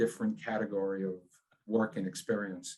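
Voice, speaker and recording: Speaking with a New York accent, a man keeps a fairly quick pace with ordinary pitch variation. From New York, Long Island. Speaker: business executive. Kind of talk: interview.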